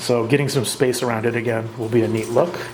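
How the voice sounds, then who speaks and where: With noticeable background noise and audible room echo, a man of medium pitch talks at a fairly quick pace. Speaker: reef aquarium hobbyist video host. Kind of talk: casual narrated tank tour. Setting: at home beside the tank, night. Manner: stumbling, stuttering through words; rambling, hesitant with many uhs.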